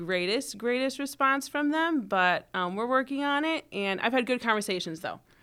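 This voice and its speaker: A woman with an American accent talks in a normal speaking voice. Her fairly high pitch moves with lively intonation. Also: hardly any pauses. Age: 20s. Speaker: political candidate. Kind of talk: interview.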